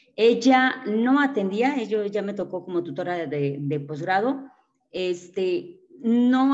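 A woman with a plain, everyday voice and lively intonation. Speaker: seminar participant, teacher. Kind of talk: discussion contribution. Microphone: choppy internet connection.

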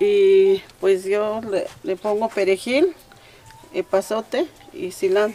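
A woman speaks at a very slow pace, with long, frequent pauses. Her intonation is lively. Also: fairly high pitch for a woman. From rural Oaxaca, Mexico. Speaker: traditional cook. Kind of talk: cooking demonstration. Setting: home kitchen. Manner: halting. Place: kitchen. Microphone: camera far.

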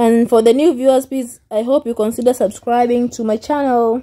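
A woman with a high pitch, a dark, mellow tone and a fairly slow pace. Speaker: lifestyle vlogger. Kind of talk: casual vlog chat. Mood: cheerful. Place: car. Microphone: phone near.

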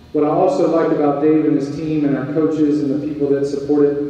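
A man with a fairly high pitch talks at a fairly quick pace in a monotone, flat intonation, with strong room echo. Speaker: university athletic director. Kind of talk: welcome speech. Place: hall.

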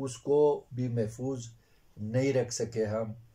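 A man's dark, mellow tone comes through with a somewhat breathy edge. His intonation stays fairly even. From Gulmit, Hunza, Gilgit-Baltistan, Pakistan; Gilgit-Baltistan, Pakistan. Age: 60s. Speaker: retired school teacher. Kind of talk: interview. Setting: on location. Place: home room.

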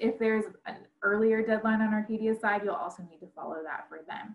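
A woman talking at a very fast pace amid audible room echo. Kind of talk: information session presentation. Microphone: video call.

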